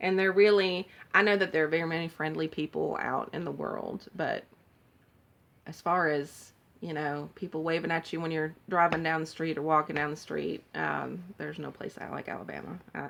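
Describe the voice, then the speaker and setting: On a very clean recording with a silent background, a woman with a slight Southern US accent speaks at a moderate pace. Her very deep, low pitch follows fairly even intonation, with big swings in loudness. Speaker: cross-stitch vlogger. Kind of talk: casual show-and-tell vlog. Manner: chatty, rambling with fillers.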